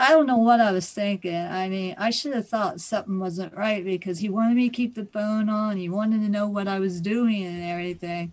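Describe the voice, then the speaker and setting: Barely pausing, a woman with a medium pitch and ordinary pitch variation talks at a fairly quick pace against a quiet background. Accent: American. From Ohio. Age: 60s. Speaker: scam victim. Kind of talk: testimony.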